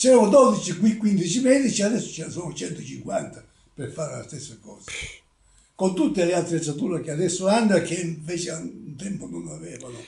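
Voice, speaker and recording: A high-pitched male voice with lively intonation and big swings in loudness. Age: 80s+. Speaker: retired country doctor. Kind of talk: interview. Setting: at home. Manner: halting.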